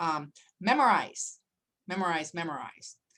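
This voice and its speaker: A woman speaks with a very deep, low pitch. Her tone is bright and sharp. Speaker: attorney. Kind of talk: lecture.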